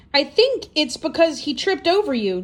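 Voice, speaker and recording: This squeaky, put-on character voice moves at a moderate pace with very wide pitch swings. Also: woman, high pitch for a woman. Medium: read story. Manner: helpful, chatty.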